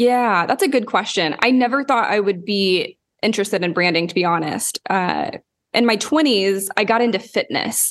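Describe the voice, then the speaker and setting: A woman with an American accent and an ordinary speaking voice, medium pitch, ordinary pitch variation, very even loudness, and a moderate pace. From Oklahoma, US. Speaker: branding consultant and podcaster. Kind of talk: casual interview.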